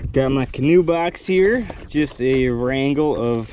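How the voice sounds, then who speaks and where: The sound is dry with no echo as a man talks over noticeable background noise. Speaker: fishing vlogger. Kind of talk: casual vlog chat. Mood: upbeat, excited. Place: boat. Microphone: phone near.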